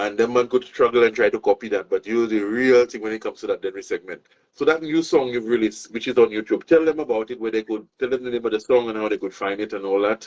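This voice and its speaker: A man in a Saint Lucian accent speaks at a very fast pace and medium pitch with hardly any pauses. His pitch varies in an ordinary way, and the sound is dry and close, with no echo. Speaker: show host. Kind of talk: casual interview chat. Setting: outdoors by a pool.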